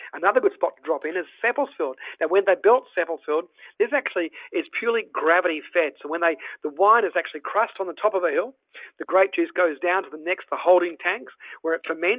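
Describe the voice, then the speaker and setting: In an Australian accent, a man talks at a very fast pace, his high pitch showing ordinary pitch variation. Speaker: travel presenter. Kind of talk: virtual tour presentation. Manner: animated; halting.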